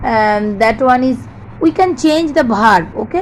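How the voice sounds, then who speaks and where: Through audible room echo and noticeable background noise, a woman speaks very slowly in a high pitch with lively intonation. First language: not English. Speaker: English teacher. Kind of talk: lecture.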